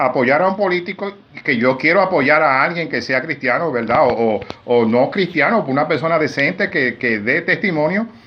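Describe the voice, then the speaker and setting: Amid noticeable background noise, a man with a fairly high pitch talks at a moderate pace, his intonation lively and his loudness very even. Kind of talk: interview. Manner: animated.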